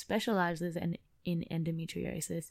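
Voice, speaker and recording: In an Australian accent, a woman with a fairly low pitch speaks at a moderate pace in a flat monotone. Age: 20s. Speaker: podcast host. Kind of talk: personal testimony monologue. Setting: at home.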